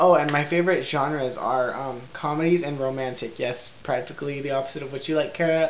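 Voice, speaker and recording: Noticeable background noise sits beneath fairly quick delivery. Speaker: vlogger. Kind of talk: casual chat. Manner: animated.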